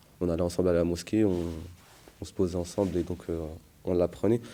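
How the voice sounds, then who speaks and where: A man's very deep, low voice with a dark, mellow tone and monotone, flat intonation. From France, Paris suburbs (Gennevilliers). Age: 20s. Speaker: theology student. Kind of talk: testimony. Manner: hesitant, many fillers.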